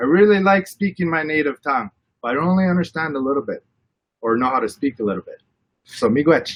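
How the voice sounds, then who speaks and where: A man's fairly high voice, very fast and lively in intonation, with a dry, close sound and no echo. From Canada, Anishinaabe First Nation, Ontario. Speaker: First Nation community energy representative. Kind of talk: panel discussion. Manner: hesitant, many fillers.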